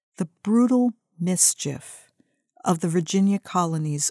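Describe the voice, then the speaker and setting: A woman with a dark, mellow tone speaks at a fairly slow pace, with a dry, close sound with no echo on a very clean recording with a silent background. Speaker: essay author narrating her own essay. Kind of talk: audiobook-style narrated essay reading. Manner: measured, reflective, literary narration.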